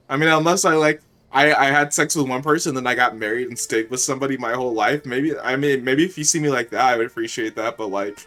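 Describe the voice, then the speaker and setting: The voice has a bright, sharp tone and ordinary pitch variation, racing at a very fast pace with hardly any pauses. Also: man, medium pitch for a man. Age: 20s. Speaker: streamer. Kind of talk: casual chat. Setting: live stream. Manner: animated.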